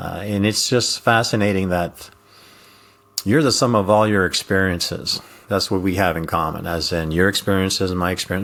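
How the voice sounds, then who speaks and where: A man talks at a fairly quick pace in a Quebec accent. His pitch is very deep and low, and his intonation fairly even. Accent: French Canadian accent in English. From Quebec / French Canada. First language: French. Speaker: retired intelligence officer, communication coach. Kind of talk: interview conversation. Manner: hesitant with many fillers.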